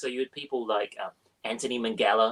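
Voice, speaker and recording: A man with a slight New Zealand accent speaks with lively intonation. The sound is dry and close, with no echo. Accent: slightly well-travelled New Zealand. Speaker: crime author and screenwriter. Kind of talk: interview. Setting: live online interview. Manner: animated.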